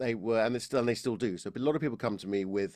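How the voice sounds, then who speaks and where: On a very clean recording with a silent background, a man speaks with an Estuary accent. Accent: estuary English, slightly Cockney. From London, England. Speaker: voice and public speaking coach. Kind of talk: podcast interview. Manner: halting, many false starts.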